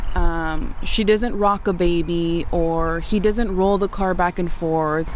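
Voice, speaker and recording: Speaking at a fairly slow pace with ordinary pitch variation, a woman is heard through audible room echo and noticeable background noise. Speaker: behavior analyst and parent educator. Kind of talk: tutorial. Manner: loud; animated.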